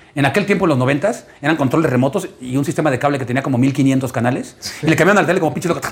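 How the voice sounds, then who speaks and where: Against noticeable background noise, a man with a fairly high pitch talks at a very fast pace with hardly any pauses, very even loudness and ordinary pitch variation. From Mexico, Ciudad Satélite (Mexico City area). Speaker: stand-up comedian. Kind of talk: casual chat.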